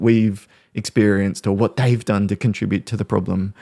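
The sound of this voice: A man with an Australian accent, fairly low-pitched and dark and mellow in tone, at a moderate pace with fairly even intonation, on a dry, close recording with no echo, very clean with a silent background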